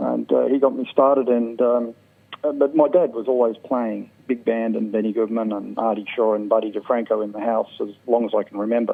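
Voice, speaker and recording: With an Australian accent, a man talks in a fairly even intonation. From South Australia, Port Augusta. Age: 50s. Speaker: jazz clarinetist. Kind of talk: interview.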